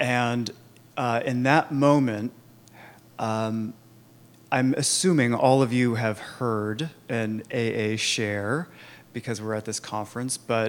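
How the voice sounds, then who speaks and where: In a Californian accent, a man speaks very slowly at a medium pitch, with fairly even intonation and long, frequent pauses. The recording is very clean, with a silent background. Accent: Californian American. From US, Sacramento suburbs. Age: 30s. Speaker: Al-Anon speaker. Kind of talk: recovery testimony. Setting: conference talk with audience.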